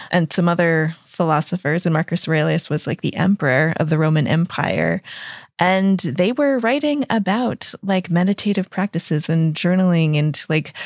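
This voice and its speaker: In a very clean recording with a silent background and a dry, close sound with no echo, a woman with a fairly low pitch talks at a moderate pace with ordinary pitch variation. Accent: American. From US. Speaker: transformation coach and podcaster. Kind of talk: casual interview.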